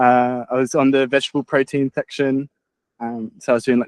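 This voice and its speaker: Monotone, flat intonation from a man with an Australian accent, in a dry, close sound with no echo. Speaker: podcast host. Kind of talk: casual chat. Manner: halting, many fillers.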